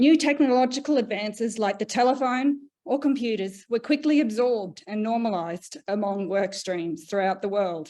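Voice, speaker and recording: Speaking at a moderate pace with hardly any pauses, a woman with an Australian accent has a fairly high pitch, lively intonation and a dark, mellow tone. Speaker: panel moderator and researcher. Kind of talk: webinar panel introduction and presentation.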